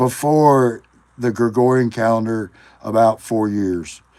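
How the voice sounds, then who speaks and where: A man's fairly low voice, dark and mellow in tone, with fairly even intonation. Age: 40s. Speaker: livestreamer. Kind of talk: casual live stream talk. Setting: live stream. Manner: halting, thinking aloud.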